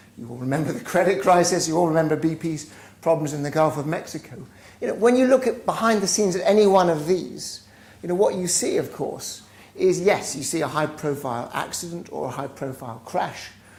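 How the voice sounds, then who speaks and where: A man's high voice with lively intonation, a fairly quick pace, big swings in loudness and audible room echo. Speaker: business school professor. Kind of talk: lecture. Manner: halting, with repeated words.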